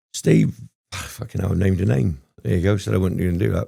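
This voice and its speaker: With a very deep, low pitch, a man talks at a fairly quick pace, his dark, mellow tone carrying vocal fry and lively intonation. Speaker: former prisoner. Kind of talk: casual interview storytelling. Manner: animated.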